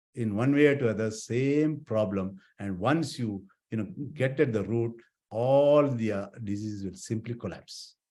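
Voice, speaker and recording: A man with a normal speaking voice, medium in pitch, with lively intonation and a moderate pace, in a very clean recording with a silent background. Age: 60s. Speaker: eye surgeon. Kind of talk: health talk.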